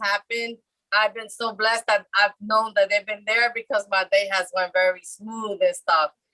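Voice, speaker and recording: A woman speaks with a fairly high pitch and a bright, sharp tone in monotone, flat intonation. The sound is dry and close, with no echo. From Puerto Rico born, raised in mainland US. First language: Spanish (bilingual). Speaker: participant sharing experiences. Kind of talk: testimony. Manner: fast.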